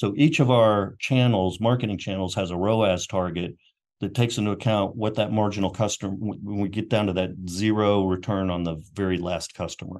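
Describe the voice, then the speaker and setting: An ordinary speaking voice from a man with an American accent, fairly low in pitch with ordinary pitch variation, at a fairly quick pace over a quiet background. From US South, Knoxville, Tennessee. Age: 60s. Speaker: marketing executive. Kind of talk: interview.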